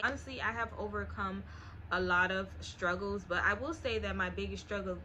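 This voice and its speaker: A woman talks at a moderate pace, and audible room echo follows her words. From US South, Miami, Florida. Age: 20s. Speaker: lifestyle YouTuber. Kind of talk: casual Q&A vlog.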